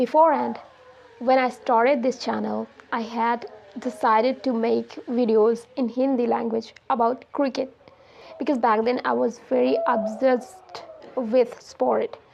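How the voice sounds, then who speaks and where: Through noticeable background noise, a woman speaks at a fairly slow pace. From India. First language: Hindi. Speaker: English learning YouTuber. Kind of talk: casual talk to camera.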